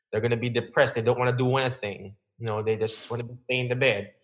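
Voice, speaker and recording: A man talks at a very fast pace with a Filipino accent. His pitch is medium. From Philippines. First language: Filipino language. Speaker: physical therapist. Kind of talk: interview.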